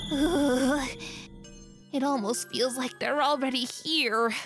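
Over clear background music, a put-on character voice speaks at a fairly slow pace. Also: female-sounding voice, high pitch for a woman. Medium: dub.

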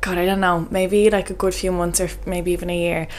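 A woman talks at a very fast pace. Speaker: health coach. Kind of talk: casual podcast monologue. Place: home room. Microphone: studio mic.

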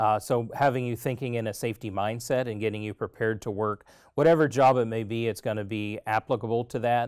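Over a quiet background, a man talks at a very fast pace with fairly even intonation. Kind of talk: interview answer. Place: studio. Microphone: lapel.

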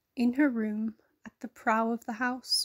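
A woman speaks at a fairly high pitch in a monotone, flat intonation. Her fairly slow speech has a dry, close sound with no echo. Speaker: poetry reader. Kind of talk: poem read aloud, reflective and tender. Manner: slow, measured, wistful.

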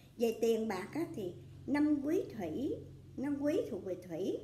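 A woman with a high pitch and a dark, mellow tone swings very widely in pitch, with audible room echo around her. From Vietnam. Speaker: astrology fortune teller. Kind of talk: astrology reading monologue. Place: home room.

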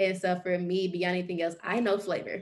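A woman talks at a fairly quick pace. Her intonation is monotone and flat over a quiet background. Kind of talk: interview answer. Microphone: video call.

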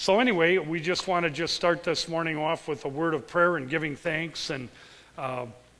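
A man with a bright, sharp tone talks at a moderate pace with ordinary pitch variation. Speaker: pastor. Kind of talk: spoken prayer in church service. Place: church.

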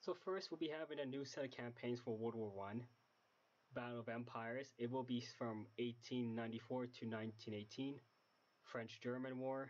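A man speaks at a medium pitch and a moderate pace. His intonation stays fairly even. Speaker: game modder. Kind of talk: casual game mod preview narration. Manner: quiet, low volume.

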